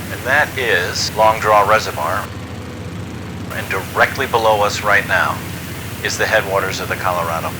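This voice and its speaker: Amid noticeable background noise and audible room echo, a man at a fairly low pitch talks at a moderate pace with ordinary pitch variation and long, frequent pauses. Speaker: flight simulator YouTuber. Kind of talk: narration over gameplay. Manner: casual, conversational.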